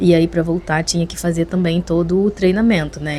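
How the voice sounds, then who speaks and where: Her pitch fairly low, a woman talks with fairly even intonation. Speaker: vlogger. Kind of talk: casual vlog talk to camera. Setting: on the balcony at home. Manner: soft-spoken, talking quietly at night.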